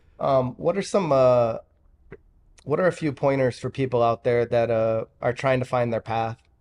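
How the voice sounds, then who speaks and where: At a medium pace and medium pitch, a man speaks in an ordinary speaking voice, his pitch varying in an ordinary way. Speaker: podcast co-host. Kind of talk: casual interview.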